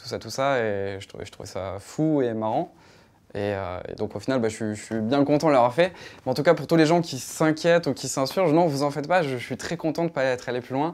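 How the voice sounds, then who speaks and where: A man talks at a fairly quick pace in a medium pitch with lively intonation. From southern France, Nîmes (Gard). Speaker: YouTuber. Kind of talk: interview. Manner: hesitant, many fillers.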